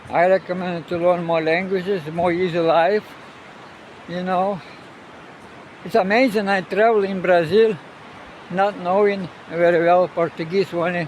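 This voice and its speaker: Speaking in a Russian accent, a man with a high pitch keeps his intonation fairly even at a moderate pace. Long, frequent pauses break up his speech, and noticeable background noise sits behind it. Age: 70s. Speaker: sailor and travel vlogger. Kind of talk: casual vlog monologue. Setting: outdoors on a beach. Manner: halting, many fillers.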